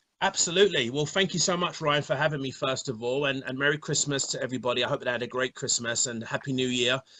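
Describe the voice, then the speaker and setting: Talking at a very fast pace with hardly any pauses, a man uses a fairly high pitch and a bright, sharp tone. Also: ordinary pitch variation. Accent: London. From London, England. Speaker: bodybuilder and fitness coach. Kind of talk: interview. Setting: online live stream. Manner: repeats words often, halting starts.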